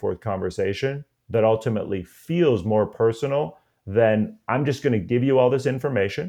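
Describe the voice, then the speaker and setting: A man talks at a moderate pace, pitched in the middle range. His pitch varies in an ordinary way, and he has a plain, everyday voice. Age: 40s. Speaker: college admissions consultant. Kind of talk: interview. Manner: casual.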